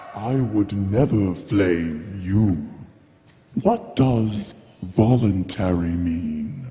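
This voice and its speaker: With a clear echo, a man puts on a character voice at a fairly low pitch and a very slow pace. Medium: stage play. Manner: imperious, contemptuous.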